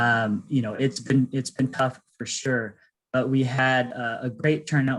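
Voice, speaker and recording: A man's medium-pitched voice, an ordinary speaking voice, with fairly even intonation at a fairly slow pace. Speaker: nonprofit presenter. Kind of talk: pitch presentation.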